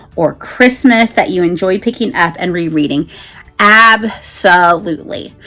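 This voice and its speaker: A woman at a fairly slow pace with lively intonation, noticeable background noise behind her. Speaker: BookTuber; mother. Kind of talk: casual talk to camera.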